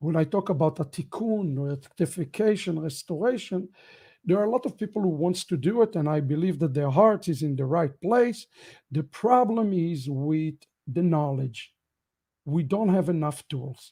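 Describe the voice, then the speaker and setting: A man with an Israeli accent speaks at a moderate pace in a high voice with a dark, mellow tone. His intonation is lively, and the recording is very clean with a silent background. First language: Hebrew. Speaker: rabbi. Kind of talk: end-of-year ministry update broadcast.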